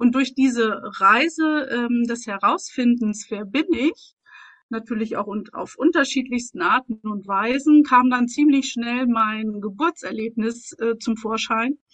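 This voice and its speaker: Her pace is very slow, with a high pitch for a woman. She shows ordinary pitch variation. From East Germany. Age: 40s. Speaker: mentor. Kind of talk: personal testimony. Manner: halting.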